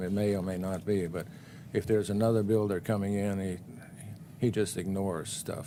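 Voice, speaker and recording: Mumbling at a fairly quick pace, a man speaks in a fairly low voice with a dark, mellow tone and fairly even intonation. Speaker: planning commission member. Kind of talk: public meeting discussion.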